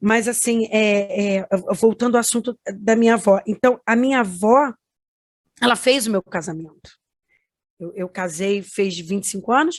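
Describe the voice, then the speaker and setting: With long, frequent pauses, a woman speaks at a fairly high pitch with ordinary pitch variation. The sound is dry and close, with no echo. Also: moderate pace. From Rio de Janeiro, Brazil. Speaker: music producer, granddaughter of a famous singer. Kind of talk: interview testimony. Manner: halting, many fillers.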